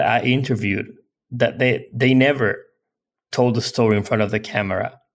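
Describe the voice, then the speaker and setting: This is a man's voice with medium pitch. His pitch variation is ordinary. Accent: Spanish. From Spain. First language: Spanish. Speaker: film director. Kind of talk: interview.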